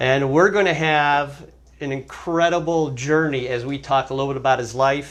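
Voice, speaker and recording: A man with an unremarkable speaking voice talks at a moderate pace. His pitch is fairly high and his intonation fairly even. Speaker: interviewer. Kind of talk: interview host introduction.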